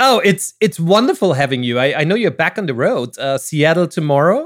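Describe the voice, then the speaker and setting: A man with an Austrian accent speaks at a moderate pace with lively intonation. The recording is very clean with a silent background and a dry, close sound with no echo. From Vienna, Austria. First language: German. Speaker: podcast host. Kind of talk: casual interview.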